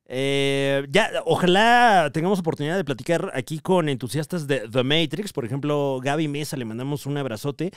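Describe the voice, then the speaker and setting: Fairly high in pitch, a man with a Mexican accent speaks at a moderate pace with ordinary pitch variation, on a very clean recording with a silent background. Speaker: comedy podcast host. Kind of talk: casual chat. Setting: live show with audience.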